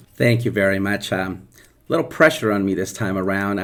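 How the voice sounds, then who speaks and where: A man with a Spanish accent speaks at a fairly quick pace, his fairly low pitch showing ordinary variation. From central Mexico. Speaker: elementary school teacher. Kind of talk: interview.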